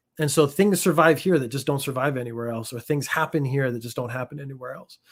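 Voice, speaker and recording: With ordinary pitch variation, this is an unremarkable speaking voice. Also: man. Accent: Canadian. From Canada. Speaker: former judo athlete living in Japan. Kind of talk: casual chat.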